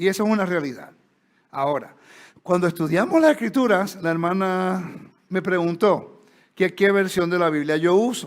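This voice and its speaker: At a moderate pace and with ordinary pitch variation, a speaker with a Puerto Rican accent is heard in a very clean recording with a silent background. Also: man. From Puerto Rico. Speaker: Bible teacher. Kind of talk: lecture. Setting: stage with audience. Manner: conversational.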